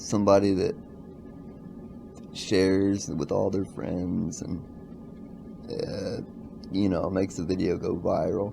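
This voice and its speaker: Fairly slow, fairly even delivery with long, frequent pauses and audible room echo. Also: man, very deep, low pitch for a man. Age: 20s. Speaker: vlogger. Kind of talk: casual vlog monologue.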